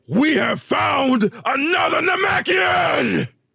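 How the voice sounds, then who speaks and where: A man shouts in a put-on character voice at an extremely high pitch. He speaks at a very slow pace. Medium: read story. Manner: commanding, sly.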